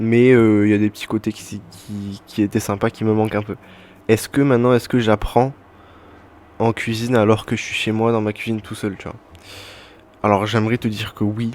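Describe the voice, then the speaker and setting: The speech moves at a moderate pace with monotone, flat intonation and long, frequent pauses. Its loudness swings widely. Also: man, fairly low pitch for a man. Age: 20s. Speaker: podcaster, former cook. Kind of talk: casual monologue podcast. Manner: hesitant, many fillers.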